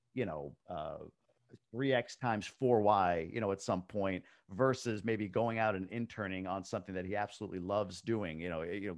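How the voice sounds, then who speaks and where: At a moderate pace, a man talks in a fairly low pitch with ordinary pitch variation against a quiet background. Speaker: real estate investor. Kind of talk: interview answer.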